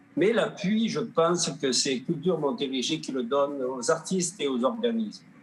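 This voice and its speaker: Over noticeable background noise, a high-pitched man talks with hardly any pauses and very wide pitch swings. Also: moderate pace. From southern Gaspésie, Quebec. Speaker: painter and sculptor, award recipient. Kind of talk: acceptance speech. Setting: virtual online gala. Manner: halting.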